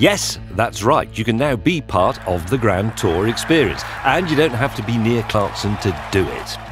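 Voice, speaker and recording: The intonation is lively and the pace fairly slow. Music plays in the background. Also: man. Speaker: TV presenter. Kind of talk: game trailer narration.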